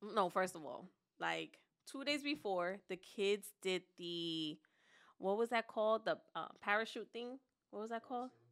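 A woman's animated, medium-pitched voice at a fairly slow pace, with lively intonation, big swings in loudness, and a very clean recording over a silent background. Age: 40s. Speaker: podcast co-host. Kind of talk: casual chat.

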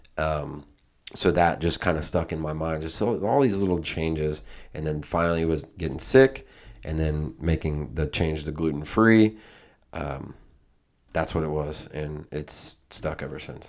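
At a fairly slow pace, a man speaks in a very deep, low pitch. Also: ordinary pitch variation. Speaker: podcast co-host. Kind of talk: casual chat.

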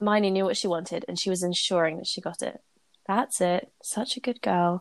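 A woman with a British accent, medium-pitched and animated in tone, with ordinary pitch variation and a fairly quick pace, on a very clean recording with a silent background and a dry, close sound with no echo. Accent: British, Received Pronunciation-like. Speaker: podcast host reading fanfiction aloud. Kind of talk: casual chat with fic reading aloud. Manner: animated, laughs often.

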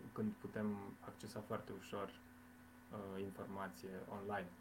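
A man with a fairly low pitch talks at a moderate pace in a somewhat breathy voice. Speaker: teacher. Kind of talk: casual interview. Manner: hesitant.

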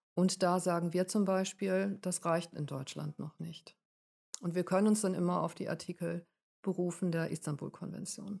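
A woman speaks in a normal speaking voice with a fairly low pitch. Her pace is moderate. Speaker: domestic violence counselor. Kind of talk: interview.

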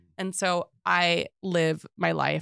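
A woman speaks with an American accent in a dry, close sound with no echo. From US South, Atlanta, Georgia. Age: 40s. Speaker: real estate agent. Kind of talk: casual chat. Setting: studio.

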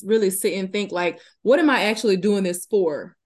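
A woman speaks at a moderate pace in a Southern US accent. Her pitch is medium, and the background is quiet. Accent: Southern US, noticeable. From Louisiana, US South. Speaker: fitness business co-owner and trainer. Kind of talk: casual interview chat. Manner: laughs often, friendly.

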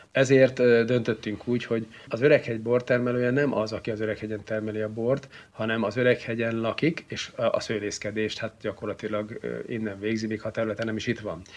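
His intonation stays monotone and flat. He speaks at a fairly quick pace. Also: medium pitch for a man. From Hungary, Szeged (Great Plain). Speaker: wine society grand master. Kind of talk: interview.

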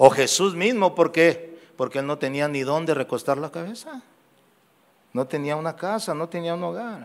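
A man talks at a moderate pace in an unremarkable speaking voice. His pitch is fairly high, with ordinary variation. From Guadalajara, Mexico. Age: 60s. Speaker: pastor. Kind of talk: sermon. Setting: church.

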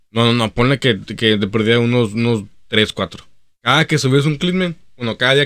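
On a very clean recording with a silent background, a man speaks fairly quickly in a normal speaking voice, medium in pitch with ordinary pitch variation. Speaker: podcast co-host. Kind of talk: casual chat.

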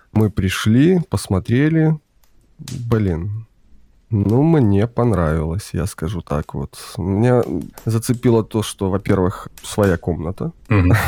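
Lively intonation runs through a dark, mellow tone delivered at a very slow pace. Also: man. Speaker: guest. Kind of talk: casual interview chat. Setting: video call.

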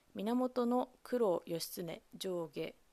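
A woman's dark, mellow, medium-pitched voice with lively intonation. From Japan, Kamogawa, Chiba. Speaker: solo podcast host. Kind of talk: solo podcast monologue. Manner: halting, many fillers.

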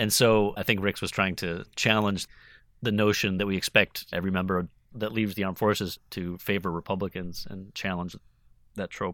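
On a very clean recording with a silent background, a man with an American accent speaks at a fairly low pitch in a monotone, flat intonation. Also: moderate pace. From Wisconsin. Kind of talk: interview.

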